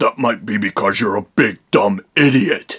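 A man puts on a cartoonish character voice. It sits at medium pitch with ordinary pitch variation. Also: dry, close sound with no echo. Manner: taunting, sarcastic, cackling.

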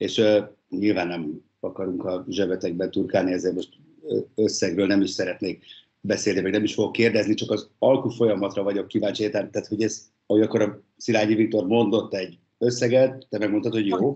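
In an unremarkable speaking voice, a man with a fairly low pitch talks at a fairly quick pace with fairly even intonation against a quiet background. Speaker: sports show host. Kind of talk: interview. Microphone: video call.

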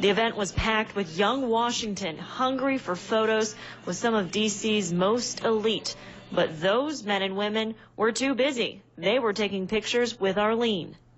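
A woman at a moderate pace, with ordinary pitch variation, very even loudness and light background noise. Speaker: TV news reporter. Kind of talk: TV news field report.

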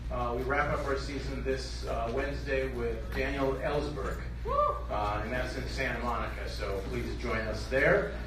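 Fairly slow male speech, with audible room echo and noticeable background noise behind it. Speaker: event host. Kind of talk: stage announcement. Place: hall. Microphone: pa.

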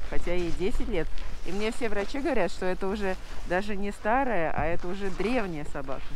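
A woman at a fairly quick pace with lively intonation, dry sound with no echo, and noticeable background noise. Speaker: vlogger. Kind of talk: casual chat. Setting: outdoors. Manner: quiet. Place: street. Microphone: muffled by fur windscreen; phone near.

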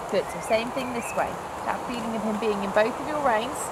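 Loud background noise runs under a voice speaking at a fairly quick pace. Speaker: riding instructor. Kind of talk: lesson coaching instructions. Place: open country.

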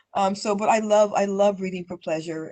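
The speaker has a plain, everyday voice with an American accent. The pace is fairly quick and the intonation fairly even. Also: woman. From US West, Denver, Colorado. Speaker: local politician. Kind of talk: interview. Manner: many fillers and repetitions.

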